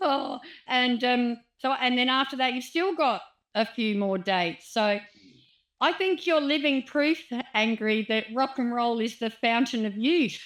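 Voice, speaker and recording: A woman with an Australian accent, high in pitch, at a fairly slow pace with ordinary pitch variation. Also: very clean recording, silent background. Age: 50s. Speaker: radio host. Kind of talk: interview chat.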